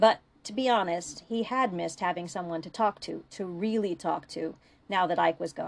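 Someone reads aloud in a natural voice. Pitch moves up and down in an ordinary way.

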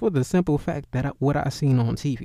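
At a moderate pace, a man talks with a dark, mellow tone. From US inner city. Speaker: livestream host. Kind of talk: casual monologue. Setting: live stream.

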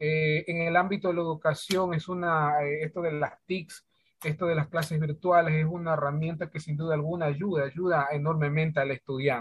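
Speaking with hardly any pauses, a man keeps a moderate pace and a fairly high pitch. His intonation is monotone and flat. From Ecuador, Santa Elena province. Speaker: schoolteacher. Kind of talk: interview. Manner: hesitant, many fillers.

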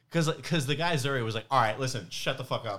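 A man with an American accent talks at a very fast pace in a bright, sharp tone with lively intonation, in a very clean recording with a silent background. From New York. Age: 30s. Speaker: stand-up comedian. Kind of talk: casual chat.

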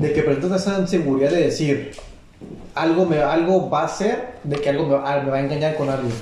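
Over noticeable background noise and audible room echo, a man with a fairly high pitch talks in a Mexican accent. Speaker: podcast co-host. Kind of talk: casual chat.

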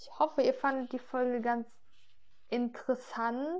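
Her voice is high-pitched, with a dark, mellow tone. The woman's intonation stays fairly even. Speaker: podcaster talking about her health. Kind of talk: casual personal monologue. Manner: hesitant, many fillers.

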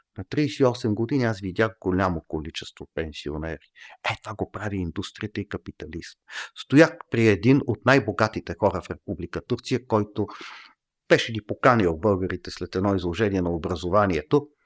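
A man with a normal speaking voice and fairly low pitch talks at a moderate pace with lively intonation and big swings in loudness, recorded very cleanly against a silent background with a dry, close sound and no echo. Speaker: professor. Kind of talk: casual chat. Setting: studio.

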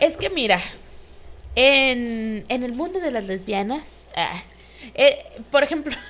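A woman with a Mexican accent, high-pitched and lively in intonation, at a very slow pace with long, frequent pauses. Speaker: podcast co-host. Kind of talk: casual chat.

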